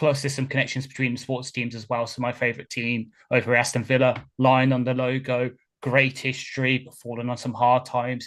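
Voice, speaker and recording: A man with a Birmingham accent at a medium pitch, monotone and flat, at a fairly quick pace, in a very clean recording with a silent background. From England, Birmingham. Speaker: podcast host, football fan. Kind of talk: casual chat.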